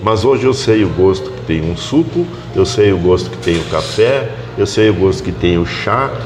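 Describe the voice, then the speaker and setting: A man with a fairly low voice speaks at a moderate pace with lively intonation, music playing in the background and audible room echo. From southern Brazil. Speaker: doctor. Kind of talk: casual interview. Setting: café.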